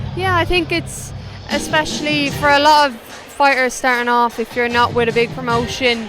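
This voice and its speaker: Over noticeable background noise, a woman with an Irish accent speaks at a moderate pace with a high pitch and lively intonation. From Ireland. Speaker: professional boxer. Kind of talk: post-fight interview.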